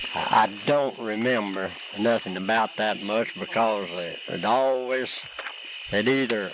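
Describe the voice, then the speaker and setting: A man speaks with a Tennessee accent over noticeable background noise. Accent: Southern American (Tennessee). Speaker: rolley hole marble player. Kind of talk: interview answer.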